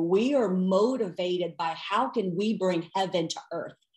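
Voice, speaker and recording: With noticeable background noise behind her, a woman speaks at a fairly slow pace with a medium pitch and ordinary pitch variation. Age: 40s. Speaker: Bible teacher. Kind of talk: teaching interview. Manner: animated.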